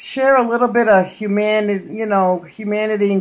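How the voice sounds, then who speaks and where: A speaker with an American accent comes through on a very clean recording over a silent background. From Massachusetts North Shore, near Boston. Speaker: live-stream host. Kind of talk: casual chat.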